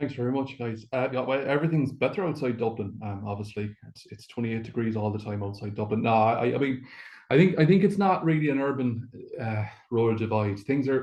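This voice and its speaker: In an Irish accent, a man talks at a fairly quick pace and medium pitch, with ordinary pitch variation and big swings in loudness. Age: 60s. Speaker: Traveller advocacy coordinator. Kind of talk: webinar presentation. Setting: video call from a hotel.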